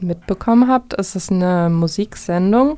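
Fairly slow female speech at a medium pitch, with ordinary pitch variation. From Vogtland, Saxony, Germany. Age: 20s. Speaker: radio host and music teacher. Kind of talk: casual music radio chat. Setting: radio studio.

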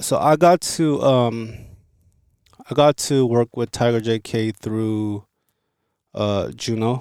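Recorded dry and close with no echo, a man with an American accent speaks at medium pitch and a very slow pace, with ordinary pitch variation, big swings in loudness and long, frequent pauses. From Los Angeles, US West Coast. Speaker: recording engineer. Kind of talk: interview. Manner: casual.

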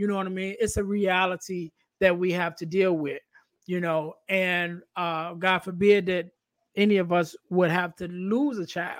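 The speaker talks in an American accent at a fairly slow pace with monotone, flat intonation. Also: man, high pitch for a man. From Chicago. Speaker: podcast host. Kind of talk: casual interview chat.

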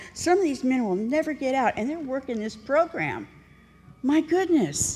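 Her voice high in pitch, a woman talks at a moderate pace with lively intonation. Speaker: recovery speaker. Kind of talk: testimony. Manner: animated.

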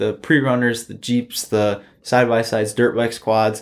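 Moderately paced, a man talks at a medium pitch. He has an ordinary speaking voice. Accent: American. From Michigan, Silver Lake dunes area. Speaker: golf course family member and dune video creator. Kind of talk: casual chat.

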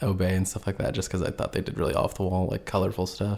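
The speaker is a man with an American accent. His pitch sits fairly low. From US Midwest, northern Indiana. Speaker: graphic designer and clothing brand founder. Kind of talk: casual chat.

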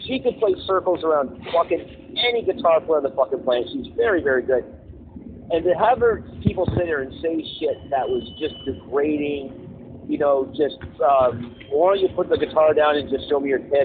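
Over noticeable background noise, a man with a fairly high pitch talks at a moderate pace with very wide pitch swings. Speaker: podcast co-host. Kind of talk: casual chat. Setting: phone call.

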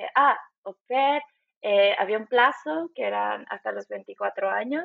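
A woman at a very slow pace. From Bolivia, Cochabamba. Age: 30s. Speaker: immigrant in Germany. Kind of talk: interview.

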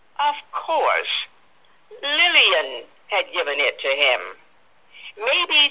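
A woman at a very slow pace. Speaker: author and radio talk host. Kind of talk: interview.

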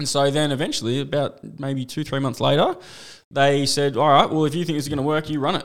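Very fast, monotone speech with flat intonation and an Australian accent. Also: man, fairly high pitch for a man. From Australia, Geelong. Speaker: club promoter and DJ. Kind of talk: casual chat.

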